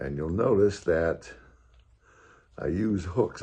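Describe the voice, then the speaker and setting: Dark and mellow, a man's very deep, low voice comes across somewhat breathy. He speaks at a fairly slow pace with ordinary pitch variation. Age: 80s+. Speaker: fitness vlogger. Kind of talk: tutorial. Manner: casual.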